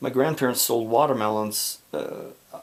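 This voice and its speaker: Moderate-paced speech from a man amid noticeable background noise. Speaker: philosopher. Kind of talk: unscripted monologue to camera. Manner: slurred speech; halting, with false starts.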